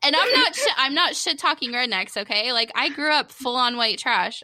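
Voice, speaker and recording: A high-pitched woman's voice with a Southern US accent, moderate pace and ordinary pitch variation. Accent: Florida Southern American. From Florida, Daytona area (Holly Hill). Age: 30s. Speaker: comedian and podcaster. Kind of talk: casual chat. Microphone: new USB microphone, crisp and clear.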